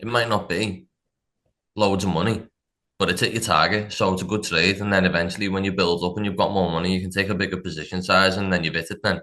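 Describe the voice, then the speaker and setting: With a Liverpool accent, the voice is bright and sharp, rushing at a very fast pace in monotone, flat intonation. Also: man, very deep, low pitch for a man, quiet background. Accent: Scouse. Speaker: funded trader. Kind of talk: casual interview chat.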